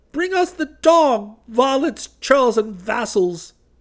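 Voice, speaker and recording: A man's shrill, put-on character voice, extremely high in pitch, with very wide pitch swings at a very slow pace. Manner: screeching, imperious.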